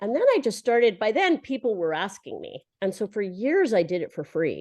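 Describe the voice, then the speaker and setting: Very wide pitch swings at a fairly quick pace, over a quiet background. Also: woman. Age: 60s. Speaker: writer and college essay coach. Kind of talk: interview. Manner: hesitant, many fillers.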